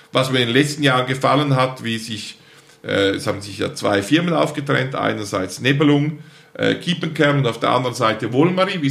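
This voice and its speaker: A man at a medium pitch with lively intonation, amid audible room echo and noticeable background noise. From eastern Switzerland, St. Gallen Rheintal. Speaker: plant breeder and nursery company founder. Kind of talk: interview conversation.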